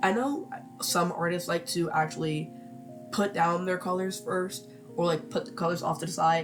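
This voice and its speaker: Moderate pacing with long, frequent pauses over music in the background. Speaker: digital artist. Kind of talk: casual voice-over tutorial. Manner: rambling, casual, hesitant.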